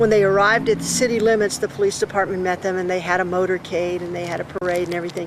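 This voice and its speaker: Noticeable background noise sits under a woman's voice. She talks at a very fast pace and medium pitch with fairly even intonation. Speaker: longtime resident interviewed for oral history. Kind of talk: oral history interview.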